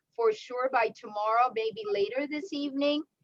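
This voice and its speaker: A woman with a non-native accent at a moderate pace, ordinary pitch variation, dry, close sound with no echo. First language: not English. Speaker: event moderator. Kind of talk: casual remarks.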